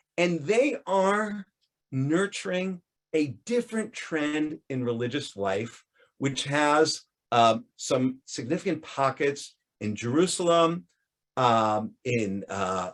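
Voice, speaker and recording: Very slow speech with very wide pitch swings, in an American accent. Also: man, fairly high pitch for a man. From United States. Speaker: professor. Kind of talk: lecture. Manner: halting, with repetitions and fillers.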